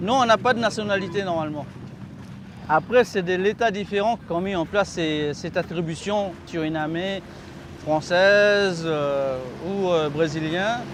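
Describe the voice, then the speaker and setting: With noticeable background noise, a man talks at a high pitch and a fairly slow pace, with ordinary pitch variation. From Maroni river region, French Guiana/Suriname. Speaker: Amerindian river dweller. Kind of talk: documentary interview.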